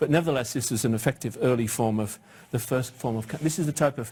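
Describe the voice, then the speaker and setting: Somewhat breathy and in a British accent, this voice moves at a very fast pace with ordinary pitch variation. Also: man. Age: 60s. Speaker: cancer research professor. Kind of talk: lecture. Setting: stage with audience.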